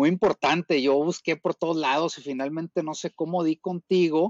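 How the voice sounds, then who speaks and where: A man talks at a moderate pace. His pitch is high, and his intonation is fairly even. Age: 40s. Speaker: masters CrossFit athlete. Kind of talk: casual chat.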